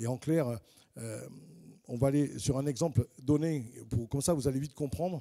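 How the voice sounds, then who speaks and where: In a southern French accent, a man speaks at a moderate pace with a medium pitch, ordinary pitch variation, a dark, mellow tone and long, frequent pauses. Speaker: housing finance specialist, panelist. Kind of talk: panel presentation. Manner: hesitant, with frequent fillers and repetitions.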